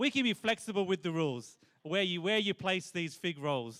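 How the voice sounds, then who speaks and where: This man has a high-pitched voice and an animated tone. His intonation is lively. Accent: Australian. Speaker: church family event game leader. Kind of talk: game instructions to live audience. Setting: church hall with live audience.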